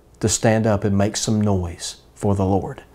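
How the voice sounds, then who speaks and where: At a fairly slow pace, a man talks in a warm tone with a fairly low pitch. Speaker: preacher. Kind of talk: sermon in a Bible study. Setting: church Bible study streamed online. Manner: warm, earnest, pastoral; emphatic, repeating for effect. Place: home room. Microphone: lapel.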